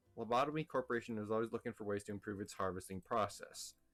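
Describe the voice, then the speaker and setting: A man is speaking. Music plays in the background. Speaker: let's play gamer. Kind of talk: reading game dialogue aloud mixed with commentary.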